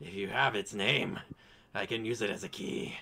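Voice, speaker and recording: A man puts on a raspy character voice with a fairly low pitch. He keeps a moderate pace. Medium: actual play. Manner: scheming, possessive.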